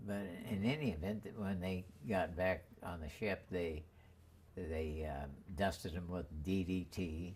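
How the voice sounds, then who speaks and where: Somewhat breathy, a man with a very deep, low pitch speaks at a very slow pace. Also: ordinary pitch variation. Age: 80s+. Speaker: war veteran. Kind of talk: interview answer.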